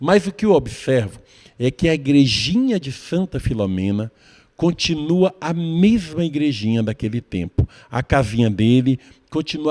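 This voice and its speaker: Dry and close with no echo, a man's dark, mellow voice sits at a fairly high pitch, making very wide pitch swings at a fairly slow pace. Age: old. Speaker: TV interviewer. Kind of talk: TV interview and presentation.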